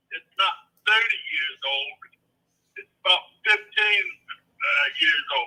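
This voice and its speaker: A man talks at a very slow pace, with long, frequent pauses and big swings in loudness. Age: 70s. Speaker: property owner. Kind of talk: phone call. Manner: hard to understand.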